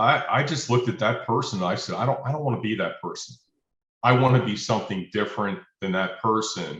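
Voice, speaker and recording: Lively intonation at a moderate pace. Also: man. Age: 60s. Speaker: client sharing back pain success story. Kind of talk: interview testimony. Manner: halting, many repeated words.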